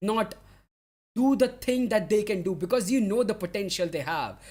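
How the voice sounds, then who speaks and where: A man's high-pitched, animated voice at a moderate pace with ordinary pitch variation. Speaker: football streamer. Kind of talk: live stream reaction chat. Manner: halting.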